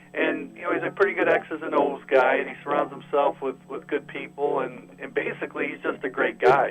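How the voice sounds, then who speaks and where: Fairly quick and with hardly any pauses, the speech keeps fairly even intonation over noticeable background noise. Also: man, fairly high pitch for a man. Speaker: radio play-by-play announcer for a hockey team. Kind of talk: sports interview answer.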